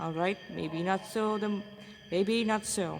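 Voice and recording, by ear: Slow speech with vocal fry and ordinary pitch variation. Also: woman, medium pitch for a woman.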